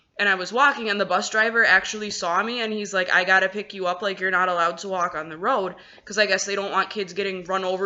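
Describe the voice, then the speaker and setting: Here a woman speaks at a medium pitch. Her pace is very fast. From Wisconsin, US Midwest. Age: 20s. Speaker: vlogger, American expat in China. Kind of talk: casual vlog monologue. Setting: at home, apartment. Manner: conversational, many fillers.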